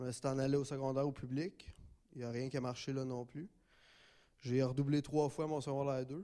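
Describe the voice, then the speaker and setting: Speaking fairly quickly in a Quebec accent, a man with a medium-pitched, dark, mellow voice keeps a monotone, flat intonation and leaves long, frequent pauses. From Gatineau, Quebec. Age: 20s. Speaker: testimony giver, program graduate. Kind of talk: testimony.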